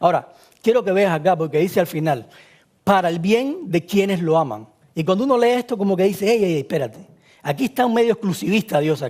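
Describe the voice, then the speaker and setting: With a Cuban accent, a high-pitched man talks at a very fast pace with lively intonation. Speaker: preacher. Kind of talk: sermon.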